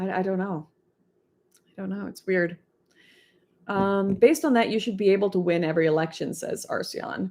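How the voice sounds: A woman talks at a moderate pace with medium pitch, a slightly mellow tone and vocal fry. Her intonation stays fairly even, broken by long, frequent pauses.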